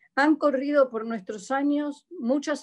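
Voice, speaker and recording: A woman with a Buenos Aires accent speaks at a very slow pace. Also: quiet background. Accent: Buenos Aires (porteño) Spanish. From Argentina, Buenos Aires. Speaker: church member giving testimony. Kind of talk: testimony. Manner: halting.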